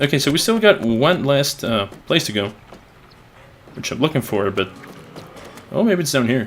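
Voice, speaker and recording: With noticeable background noise behind him, a man talks at a moderate pace. His fairly high pitch moves in very wide swings. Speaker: gaming youtuber. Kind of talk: let's play commentary. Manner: stuttering; halting. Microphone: capture echoes his voice back.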